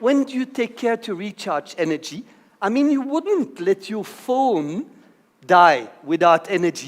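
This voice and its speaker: The voice is loud. Its pitch swings very widely. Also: man. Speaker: conference speaker. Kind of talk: conference talk. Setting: stage with audience.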